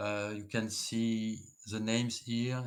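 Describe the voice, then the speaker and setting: Very slow speech from a man with a French accent at medium pitch, on a very clean recording with a silent background. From France. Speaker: engineer. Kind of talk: conference presentation. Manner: halting.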